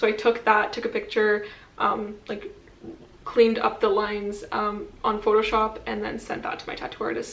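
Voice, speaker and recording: A woman talks at a moderate speed while noticeable background noise and audible room echo fill the recording. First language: French. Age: 20s. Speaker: vlogger. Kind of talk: casual chat. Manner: casual, with filler words.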